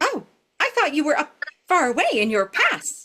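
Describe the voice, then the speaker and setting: A woman puts on a squeaky, high character voice with very wide pitch swings. She speaks at a moderate pace. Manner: timid, curious.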